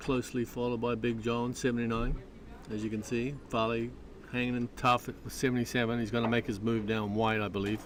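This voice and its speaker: This man's medium-pitched voice moves along at a fairly quick pace. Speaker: slot car race commentator. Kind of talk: live commentary. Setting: slot car raceway, live stream. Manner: mumbling; animated.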